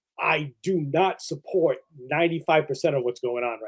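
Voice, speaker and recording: Speaking with a Boston accent, a man uses a fairly high pitch. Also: dry, close sound with no echo. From New England (Boston area). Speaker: podcast guest, wrestling fan. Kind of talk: casual chat. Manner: halting, many false starts and fillers.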